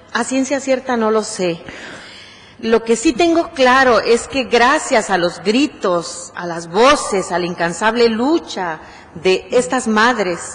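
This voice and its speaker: A woman's fairly high voice at a very slow pace, with lively intonation. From Mexico. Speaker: human rights activist; guest. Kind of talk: acceptance speech. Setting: city council chamber. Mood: earnest, grateful, serious. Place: hall. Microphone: podium.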